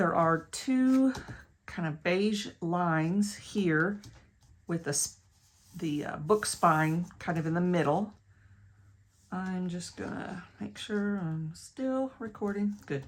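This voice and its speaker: With an American accent, the speaker goes very slowly, with long, frequent pauses and ordinary pitch variation. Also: woman, fairly low pitch for a woman. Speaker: crafter and online shop owner. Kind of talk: craft tutorial. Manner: casual, self-correcting.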